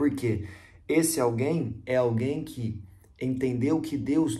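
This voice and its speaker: With audible room echo, a man speaks at a very slow pace in a dark, mellow, somewhat breathy voice with ordinary pitch variation. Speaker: evangelist. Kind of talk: devotional Bible teaching.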